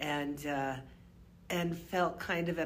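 Audible room echo surrounds a woman speaking in a very deep, low pitch. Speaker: professor. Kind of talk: casual book discussion. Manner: precise, over-enunciated pronunciation; projects strongly.

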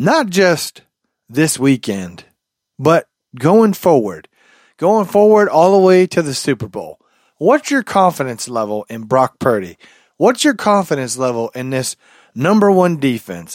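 On a very clean recording with a silent background and a dry, close sound with no echo, a man with a fairly high pitch talks at a fairly slow pace with very wide pitch swings. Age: 30s. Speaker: sports podcast host. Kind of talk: casual solo podcast talk. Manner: halting, many fillers.

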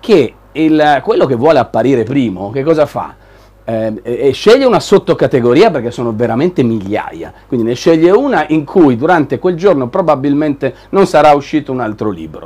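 A man with a fairly high pitch, lively intonation and a moderate pace. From northern Italy (Milan, Liguria). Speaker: tech show host. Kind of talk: live show presenting. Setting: studio with live video audience. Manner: animated.

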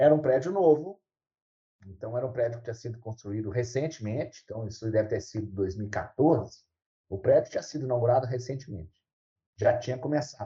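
A man's somewhat breathy voice, dark and mellow in tone and medium in pitch, moves at a fairly quick pace with ordinary pitch variation. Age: 60s. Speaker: university professor. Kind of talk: interview.

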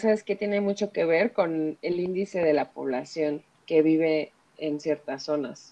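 A woman with a Mexico City accent talks at a fairly slow pace. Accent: Mexico City Spanish (chilango). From Mexico City area, Ecatepec. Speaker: feminist activist. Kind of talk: podcast interview.

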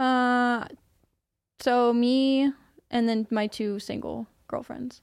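In a very clean recording with a silent background, a woman with a high voice speaks at a very slow pace in a monotone, flat delivery, leaving long, frequent pauses. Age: 20s. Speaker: podcast guest, former car detailer. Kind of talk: casual interview.

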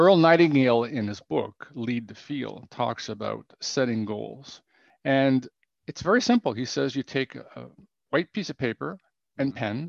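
An unremarkable speaking voice with a Canadian accent moves at a fairly slow pace and ordinary pitch variation. The sound is dry and close, with no echo. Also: man. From Canada, Ottawa. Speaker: business coach and author. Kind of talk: interview.

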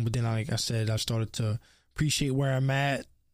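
A man with an American accent talks at a fairly quick pace in a plain, everyday voice. His intonation stays fairly even, and the recording is very clean with a silent background. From US, Baltimore. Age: 20s. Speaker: podcast host. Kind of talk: casual monologue.

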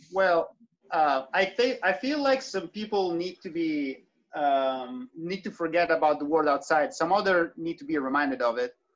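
A man's high-pitched voice with an Italian accent and lively intonation, against a quiet background. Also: moderate pace. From southern Italy. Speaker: trumpeter and electronic musician. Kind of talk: interview.

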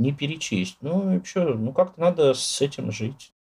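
Lively intonation marks this moderately paced delivery. The tone is dark and mellow, somewhat breathy. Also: man. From Moscow, Russia. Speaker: poet and writer. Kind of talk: interview.

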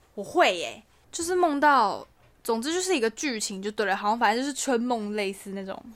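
Her pitch fairly high and swinging very widely, a woman speaks at a fairly quick pace. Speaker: podcast co-host. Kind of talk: casual chat. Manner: animated.

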